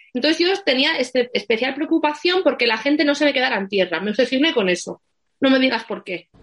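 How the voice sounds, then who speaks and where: A woman speaks very fast in a high pitch. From Asturias, Spain. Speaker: wedding planner. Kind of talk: interview.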